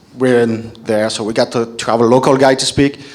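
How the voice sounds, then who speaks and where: Over noticeable background noise, a man with a French accent talks at a moderate pace. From France. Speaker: panel moderator. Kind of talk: panel discussion. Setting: stage with audience.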